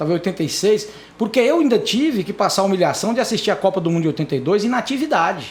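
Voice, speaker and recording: The voice is animated, racing along at a very fast pace with very wide pitch swings over noticeable background noise. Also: man, high pitch for a man. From Brazil, Dianópolis, southeastern Tocantins. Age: 50s. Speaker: lawyer and newspaper columnist. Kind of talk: interview podcast conversation.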